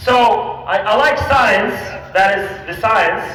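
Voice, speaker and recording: A man speaks in a raised, projected voice with an animated tone, with audible room echo and noticeable background noise. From Kazakhstan. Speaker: health coach. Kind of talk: rally speech. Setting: outdoor rally with crowd.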